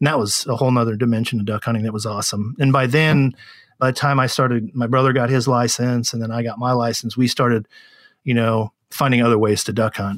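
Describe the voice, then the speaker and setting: Over a silent background in a very clean recording, a man with an American accent talks at a very fast pace, his medium-pitched voice fairly even in intonation. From San Francisco Bay Area, California. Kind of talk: casual interview.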